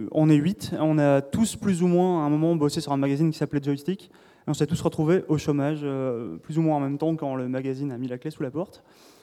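A man's fairly high-pitched voice, dark and mellow in tone, fairly even in intonation, at a fairly quick pace. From southern France. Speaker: podcast host and games journalist. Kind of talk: panel discussion. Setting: stage with audience.

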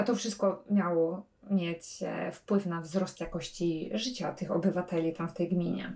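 A woman speaks at a fairly slow pace in a normal speaking voice. Her pitch is fairly low, with ordinary pitch variation. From Poland. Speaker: travel blogger and podcaster. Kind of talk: casual monologue.

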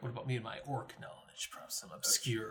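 A man speaks in a put-on character voice. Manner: gruff, exaggerated.

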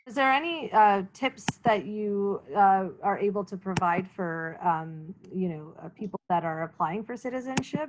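A woman with a Canadian accent speaks at a fairly slow pace in a medium pitch, using an unremarkable speaking voice. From Canada. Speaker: interview series host for a newcomer support organization. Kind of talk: interview.

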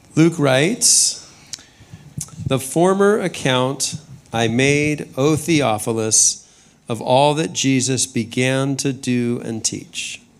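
With a Californian accent, a man of medium pitch talks at a very slow pace with ordinary pitch variation over noticeable background noise. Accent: Californian American. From US West, Southern California. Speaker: senior pastor. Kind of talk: sermon. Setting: church with congregation. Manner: measured, pausing for interpreter.

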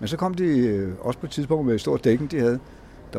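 Very fast and lively in intonation, a man talks at medium pitch. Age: 70s. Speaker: formerly homeless city walk guide. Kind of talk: guided walking tour talk. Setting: outdoors. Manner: halting.

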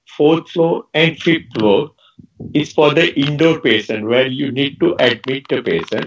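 A man's very slow speech with vocal fry. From India, Ahmedabad. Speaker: ayurvedic doctor. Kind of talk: interview.

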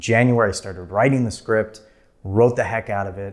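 A man's normal speaking voice, fairly low in pitch, with fairly even intonation, on a very clean recording with a silent background. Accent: American. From US Midwest, Minnesota. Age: 30s. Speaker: filmmaker. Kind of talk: casual interview conversation. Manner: many fillers and restarts.

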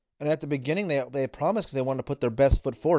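A man's fairly high-pitched voice. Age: 40s. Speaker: relationship advice podcaster. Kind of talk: monologue.

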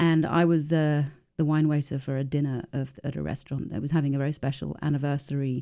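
A woman speaks very fast in a very deep, low voice with a flat, monotone delivery. The recording is very clean, with a silent background. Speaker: winemaker. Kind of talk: interview. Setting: studio.

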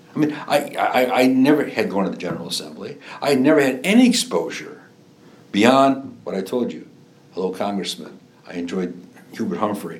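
Very wide pitch swings mark this voice with a Chicago accent. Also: man, medium pitch for a man, moderate pace. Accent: Chicago-area Midwestern. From northwest Indiana, Lake County (Chicago area). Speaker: former state legislator and judge. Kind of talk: oral history interview. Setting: in-person interview. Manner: halting, many fillers and repetitions.

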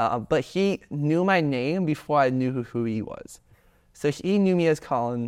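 A man with an American accent has an unremarkable speaking voice, fairly high in pitch with lively intonation. He goes at a fairly slow pace on a very clean recording with a silent background. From US South, suburbs of Atlanta, Georgia. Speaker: student, mental health club founder. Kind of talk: casual interview.

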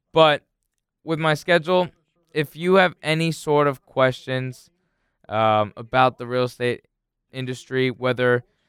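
A man's voice, with ordinary pitch variation, is captured in a very clean recording with a silent background and a dry, close sound with no echo. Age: 20s. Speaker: real estate agent and podcast host. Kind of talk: casual solo podcast monologue. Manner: hesitant, many fillers.

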